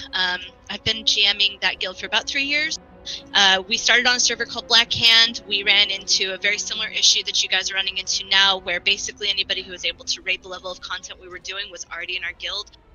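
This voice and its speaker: Music plays in the background as a woman speaks at a very fast pace. Her intonation stays fairly even, but her loudness swings widely. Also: medium pitch for a woman. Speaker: gaming guild leader. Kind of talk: casual presentation to online community.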